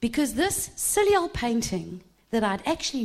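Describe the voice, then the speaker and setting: Moderately paced, a woman talks with a normal speaking voice at a fairly high pitch. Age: 50s. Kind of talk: sermon.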